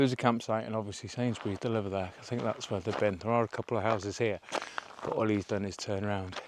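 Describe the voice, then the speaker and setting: Over noticeable background noise, a man rattles off words at a very fast pace, his medium pitch kept to fairly even intonation. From North Wales. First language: Welsh. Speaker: hiking vlogger. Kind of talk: casual vlog narration. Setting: outdoors. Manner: mumbling; rambling, casual.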